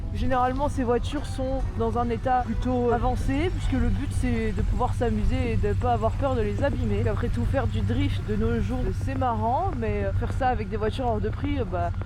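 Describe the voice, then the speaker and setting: With noticeable background noise and audible room echo, a man talks at a moderate pace with very even loudness and hardly any pauses. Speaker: vlogger. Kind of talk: casual vlog narration.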